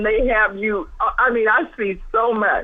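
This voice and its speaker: A woman's fairly high voice comes through noticeable background noise. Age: 70s. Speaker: caller. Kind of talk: casual phone-in chat. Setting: phone call into live stream. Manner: halting.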